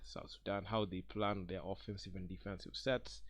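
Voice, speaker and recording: There is vocal fry in this man's fairly low-pitched voice. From Kenya. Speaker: basketball commentator, video creator. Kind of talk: casual sports commentary. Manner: hesitant, many fillers and restarts.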